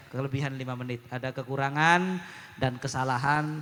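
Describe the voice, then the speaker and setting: A man's fairly high voice, with fairly even intonation and a moderate pace, comes through noticeable background noise. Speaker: Islamic preacher. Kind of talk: sermon. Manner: loud.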